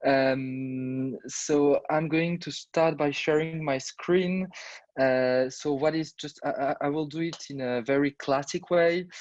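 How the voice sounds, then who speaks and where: With a fairly high pitch and ordinary pitch variation, a man speaks in a dry, close sound with no echo. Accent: French. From France. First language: French. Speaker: startup representative presenting product. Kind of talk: product pitch.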